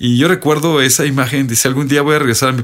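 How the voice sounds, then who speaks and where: His tone is bright and sharp. The man's intonation is fairly even. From Mexico, Sierra de Puebla. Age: 40s. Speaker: high school teacher. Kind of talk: classroom talk; interview. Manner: halting, many fillers.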